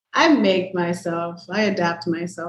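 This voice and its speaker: A woman speaks in a somewhat breathy voice. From Miami, Florida. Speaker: podcast guest. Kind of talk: casual chat. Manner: blunt, talkative.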